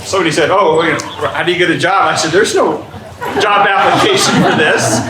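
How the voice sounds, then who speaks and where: A man raises and projects his voice, his pitch swinging very widely. Audible room echo and noticeable background noise surround him. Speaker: community organization leader. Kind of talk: meeting welcome speech. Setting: church venue with live audience. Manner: loud.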